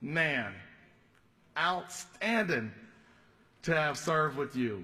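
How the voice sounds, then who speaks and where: A man's very slow speech with vocal fry and audible room echo. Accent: Southern US. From US South, Georgia (Fayette County). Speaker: state legislator. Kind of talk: farewell speech on the house floor. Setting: legislative chamber.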